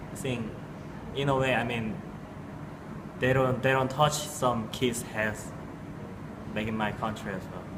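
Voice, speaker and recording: A man with a Korean accent at a fairly slow pace, fairly even intonation, long and frequent pauses, audible room echo and noticeable background noise. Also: medium pitch for a man. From South Korea. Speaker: student. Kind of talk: interview. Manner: halting, with repetitions.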